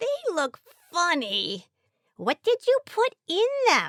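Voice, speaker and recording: A woman uses a put-on character voice at an extremely high pitch, with very wide pitch swings. She speaks at a very slow pace, and the sound is dry and close with no echo. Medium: read story.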